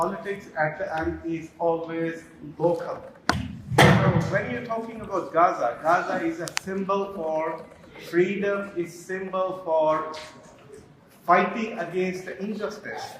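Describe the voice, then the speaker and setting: Delivered with a Punjabi accent at a fairly slow pace, the speech has fairly even intonation, audible room echo and noticeable background noise. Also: man, high pitch for a man. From Pakistan, Faisalabad (Punjab). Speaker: audience member asking a question. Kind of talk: audience Q&A debate. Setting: live event hall with audience.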